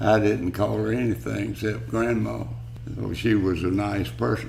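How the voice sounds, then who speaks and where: With noticeable background noise and audible room echo, a man with a Southern US accent speaks at a fairly slow pace in a very deep, low voice. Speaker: elderly family member. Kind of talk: family oral history interview.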